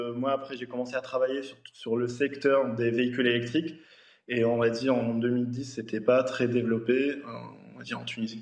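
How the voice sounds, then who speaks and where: A man at medium pitch and a moderate pace, with monotone, flat intonation. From Tunisia. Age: 30s. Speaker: engineer. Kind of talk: TV panel interview. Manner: hesitant, repetitive.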